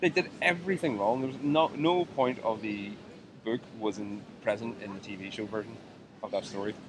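With noticeable background noise, a man at a medium pitch talks at a moderate pace, using lively intonation and big swings in loudness. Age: 30s. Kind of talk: casual chat. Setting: outdoors.

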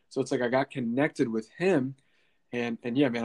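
This is a plain, everyday voice at a fairly quick pace. The sound is dry and close, with no echo. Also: man. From US, Pennsylvania (small town). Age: 20s. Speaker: marketing entrepreneur and podcast host. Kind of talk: interview.

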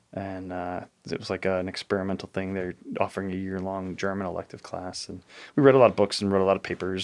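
Speaking at a fairly quick pace with an American accent, a man with a fairly low pitch comes through on a very clean recording with a silent background. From Chicago area, Illinois (south side). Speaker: data center commissioning lead, Navy veteran. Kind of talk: interview conversation. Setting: in person.

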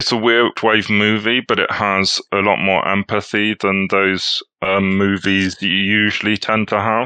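A man's fairly low, bright, sharp voice in a British accent, flat and monotone, fairly slow, very even in loudness, with a dry, close sound and no echo. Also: quiet background. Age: 40s. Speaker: economics writer and film festival programmer. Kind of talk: casual chat.

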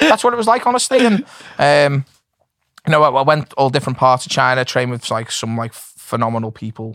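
A man talks fairly quickly in a plain, everyday voice at medium pitch, with lively intonation. The sound is dry and close, with no echo. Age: 40s. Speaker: MMA coach. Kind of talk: casual chat.

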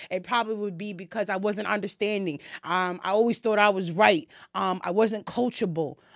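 Fairly quick speech from a woman with a normal speaking voice, medium pitch and fairly even intonation, on a very clean recording with a silent background. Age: 20s. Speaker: podcast host. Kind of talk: casual chat.

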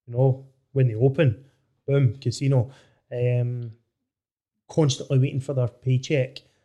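At a fairly slow pace with long, frequent pauses, a man speaks in a somewhat breathy medium pitch with a dark, mellow tone and monotone, flat intonation. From Scotland, Inverclyde area. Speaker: podcast host. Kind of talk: casual chat.

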